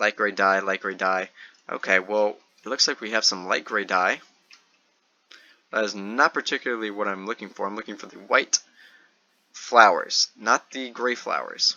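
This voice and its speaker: At a moderate pace, a man with a fairly low pitch talks in a fairly even intonation, leaving long, frequent pauses while his loudness swings widely. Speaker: gaming youtuber. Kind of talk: gameplay commentary. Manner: monotone; halting, many fillers.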